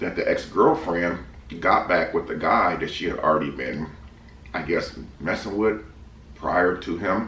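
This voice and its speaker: A man speaks at a fairly slow pace with long, frequent pauses. Audible room echo surrounds his voice. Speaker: family vlogger. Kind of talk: casual chat. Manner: eating while talking.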